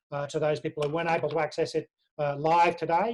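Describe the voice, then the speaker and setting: A man with an Australian accent talks at a very fast pace. His fairly high pitch stays monotone and flat. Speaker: union official. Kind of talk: online briefing. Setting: video call.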